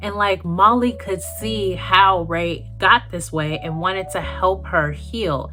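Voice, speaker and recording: A woman speaks at a very slow pace with hardly any pauses. Audible room echo and music in the background fill the recording. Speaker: YouTube movie commentator. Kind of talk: casual video commentary. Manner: animated.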